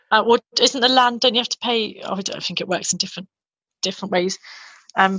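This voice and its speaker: A fairly high-pitched woman's voice in a London accent, with fairly even intonation and a very fast pace. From London, England. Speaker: former English teacher in Japan. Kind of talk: casual interview.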